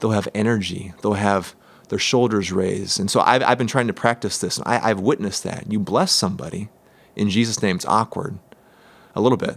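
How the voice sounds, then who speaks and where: With an American accent and an unremarkable speaking voice, a man talks fairly quickly at a fairly low pitch with ordinary pitch variation. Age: 30s. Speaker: church ministry guest. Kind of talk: casual interview.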